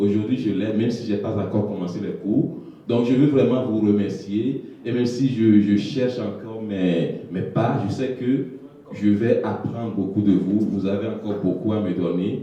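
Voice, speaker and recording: The speaker talks at a fairly slow pace with ordinary pitch variation, with audible room echo and noticeable background noise. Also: man, fairly low pitch for a man. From Togo. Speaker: newcomer immigrant. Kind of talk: testimony.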